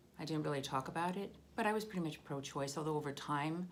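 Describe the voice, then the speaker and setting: Audible room echo around a woman's very deep, low voice, with ordinary pitch variation and a fairly quick pace. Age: 60s. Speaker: political video blogger. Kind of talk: personal commentary monologue.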